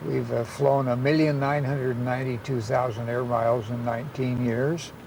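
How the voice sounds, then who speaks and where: Speaking at a moderate pace, a man with medium pitch and ordinary pitch variation is heard over noticeable background noise and audible room echo. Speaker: father and caregiver of a savant. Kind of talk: documentary interview.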